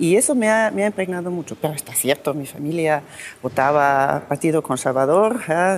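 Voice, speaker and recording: A woman with a very deep, low pitch talks at a moderate speed, her pitch varying in an ordinary way. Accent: German. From Austria. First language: German (speaking Spanish). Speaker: politician. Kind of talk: interview. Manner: halting, many restarts and fillers.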